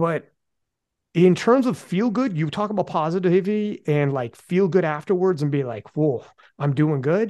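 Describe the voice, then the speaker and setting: Against a quiet background, a man speaks at a moderate pace with lively intonation. His voice is high-pitched yet has a dark, mellow tone. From Canada. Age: 40s. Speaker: podcast host. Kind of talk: casual chat.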